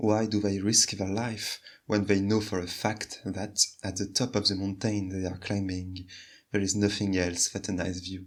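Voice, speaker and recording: A man with a French accent speaks at a moderate pace and a fairly low pitch, in a flat monotone. The recording is very clean, with a silent background. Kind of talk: video essay narration.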